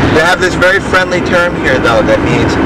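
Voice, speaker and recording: A man talks while loud noise fills the background. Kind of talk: casual joking chat. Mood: playful, ironic joking. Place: car. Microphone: old recording.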